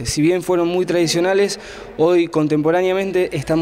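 The man's voice is high-pitched for a man, with ordinary pitch variation. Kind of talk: interview answer. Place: hall. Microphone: handheld.

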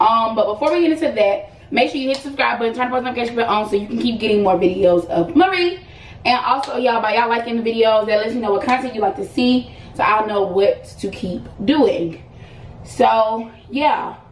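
A woman talks at a fairly quick pace with audible room echo and light background noise. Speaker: lifestyle vlogger. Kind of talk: casual vlog chat. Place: home room. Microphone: camera far.

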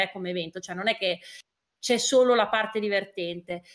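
The background is quiet. A woman talks over it. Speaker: guest. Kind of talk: interview answer. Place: home room.

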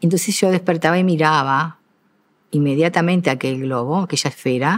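A woman is speaking. Her voice sits very deep and low. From Uruguay. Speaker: retired school teacher and principal; retired school teacher. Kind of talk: interview. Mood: calm, reflective, proud. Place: stage. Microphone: lapel.

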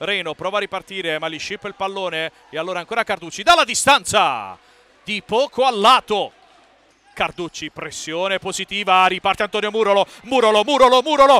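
A man speaks in a raised, projected voice with big swings in loudness. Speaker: sports commentator. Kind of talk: live sports commentary, futsal match. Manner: fast, rapid-fire play-by-play, excited; repeats player names in bursts, rising intensity on chances and goals.

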